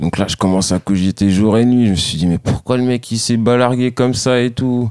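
In a very clean recording with a silent background and a dry, close sound with no echo, a man uses an ordinary speaking voice at a medium pitch with ordinary pitch variation and a moderate pace. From France, Saint-Denis (Paris suburbs), Antillean family. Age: 30s. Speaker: professional skateboarder. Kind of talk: casual interview.

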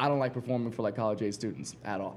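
At a very fast pace, a man with a dark, mellow tone and vocal fry speaks at medium pitch with ordinary pitch variation. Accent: American. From Ohio. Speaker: stand-up comedian. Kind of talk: panel discussion. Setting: stage with audience.

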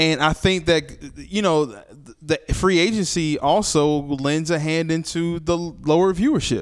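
Speaking at a fairly slow pace, a man with a fairly high pitch sounds animated on a very clean recording with a silent background. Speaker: podcast host. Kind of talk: casual chat. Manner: animated, joking.

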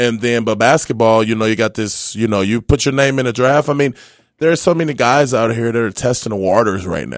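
With a medium pitch and ordinary pitch variation, a man has an ordinary speaking voice, heard in a very clean recording with a silent background. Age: 30s. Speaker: former pro basketball player. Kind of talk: casual chat.

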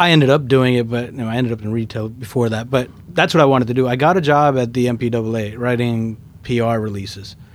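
A man speaks at a medium pitch and a fairly quick pace. Audible echo from the room surrounds his voice. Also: ordinary pitch variation. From Queens, New York (born in India). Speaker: sneaker store owner. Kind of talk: casual interview.

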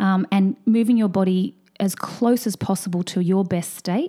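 The voice has a dark, mellow tone and an Australian accent, moving at a fairly slow pace with ordinary pitch variation. The recording is very clean, with a silent background. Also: woman. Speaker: fertility and hormone expert, Chinese medicine doctor. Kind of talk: casual interview.

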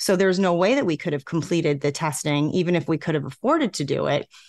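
This woman has a normal speaking voice, fairly low in pitch with lively intonation, talking at a fairly quick pace in a dry, close sound with no echo. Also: quiet background. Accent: American. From New York. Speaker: vaping advocate. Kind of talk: interview.

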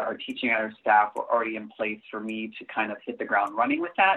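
An American accent at a fairly quick pace. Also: man. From South Florida, Cuban American. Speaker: theater director and arts educator. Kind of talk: casual interview. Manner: halting, many fillers.

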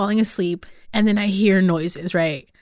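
A woman with a Spanish accent at medium pitch and moderate pace, fairly even intonation, on a very clean recording against a silent background. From California Central Valley (Los Banos). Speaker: podcast host. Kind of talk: casual interview.

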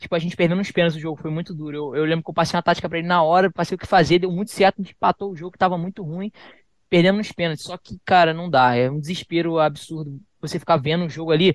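Delivered at a very fast pace with big swings in loudness and fairly even intonation, the speech sounds dry and close with no echo over a quiet background. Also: man, high pitch for a man. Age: 20s. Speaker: professional esports player. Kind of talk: casual interview.

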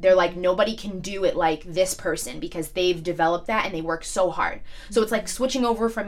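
A woman's medium-pitched voice in a New York accent, with ordinary pitch variation. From New York, Staten Island. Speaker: social media influencer. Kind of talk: casual chat.

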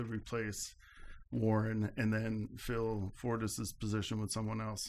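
A man with an American accent and a normal speaking voice talks at a fairly slow pace and medium pitch on a very clean recording with a silent background. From upstate New York. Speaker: political science professor. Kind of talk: interview.

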